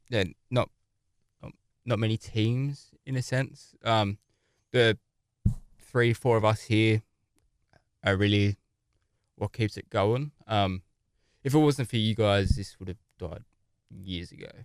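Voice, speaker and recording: A man with an Australian accent speaks fairly slowly in a fairly low voice, with ordinary pitch variation and long, frequent pauses. The recording is very clean and dry, close with no echo, with a silent background. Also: big swings in loudness. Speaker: podcast co-host, gaming group founder. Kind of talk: casual chat. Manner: halting, many fillers.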